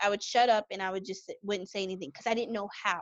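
In a normal speaking voice, a woman talks at medium pitch with ordinary pitch variation. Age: 30s. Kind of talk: interview.

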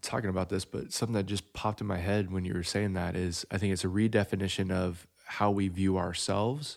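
An unremarkable speaking voice from a man, fairly low and fairly quick, on a very clean recording with a silent background. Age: 30s. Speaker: podcast host. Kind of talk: casual chat. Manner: joking.

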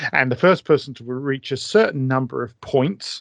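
Someone with a British accent speaks at a moderate pace against a quiet background. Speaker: author and wargaming historian. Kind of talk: casual interview chat.

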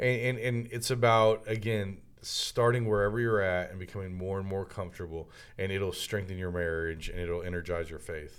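Here is a man with an unremarkable speaking voice and a fairly low pitch. He keeps a moderate pace with ordinary pitch variation. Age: 30s. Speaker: minister and entrepreneur. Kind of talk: casual chat. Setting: studio.

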